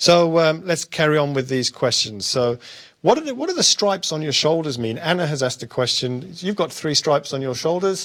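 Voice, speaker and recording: A man speaks with a British accent. His pace is fairly quick and his intonation lively. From United Kingdom. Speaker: senior corrections official hosting Q&A. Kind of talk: live question-and-answer session. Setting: live broadcast with guests.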